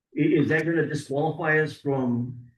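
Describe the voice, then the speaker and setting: Heard with audible room echo, a man talks at a fairly high pitch. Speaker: city council member. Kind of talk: council meeting discussion. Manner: loud.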